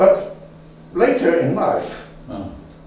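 Recorded with strong room echo and light background noise, a man is speaking. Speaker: local language enthusiast, dictionary compiler. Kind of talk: public lecture. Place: hall.

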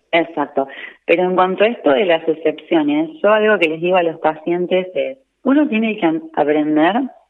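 A woman's plain, everyday voice, fairly low in pitch, at a moderate pace with ordinary pitch variation. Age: 40s. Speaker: nutritionist. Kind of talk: interview. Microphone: echo.

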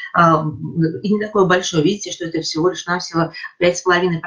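The background stays quiet. A woman talks at a moderate pace, her pitch varying in an ordinary way. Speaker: associate professor of neurology. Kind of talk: lecture. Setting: video call. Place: home room. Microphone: webcam.

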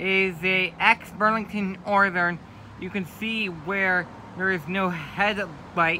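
Over light background noise, a man talks very slowly in a raised, projected voice with fairly even intonation. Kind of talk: commentary. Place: street. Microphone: phone near.

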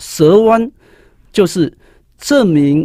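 A man speaks with lively intonation and a dark, mellow tone, the sound dry with no echo against a quiet background. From Taiwan. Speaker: high school teacher and author; guest, teacher. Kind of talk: interview about his book on writing. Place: studio. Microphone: studio mic.

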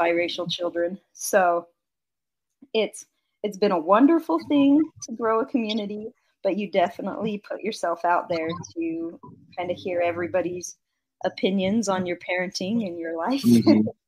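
Using lively intonation and a medium pitch, a woman with an American accent speaks at a moderate pace with long, frequent pauses. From Idaho. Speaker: van-travelling mother and social media creator. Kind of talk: casual interview chat.

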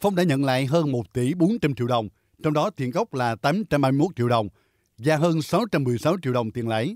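Here a man with an unremarkable speaking voice talks at a moderate pace, fairly high in pitch, with lively intonation. The sound is dry and close with no echo, on a very clean recording with a silent background. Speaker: news narrator. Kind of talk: news reading.

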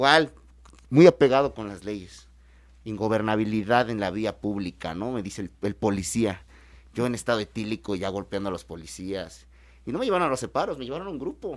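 On a very clean recording with a silent background, a man with a normal speaking voice talks at a fairly quick pace in a fairly low pitch, with lively intonation and big swings in loudness. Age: 20s. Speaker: lawyer, AA member. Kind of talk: casual talk show discussion. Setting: studio.

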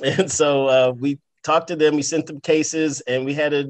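A man's fairly even intonation and moderate pace come through clearly over a quiet background. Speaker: guest. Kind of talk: roundtable interview answer. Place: office. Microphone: video call.

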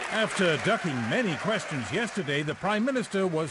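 Crowd noise behind a man with a high pitch, moderate pace and very wide pitch swings. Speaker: political reporter. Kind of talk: TV news report.

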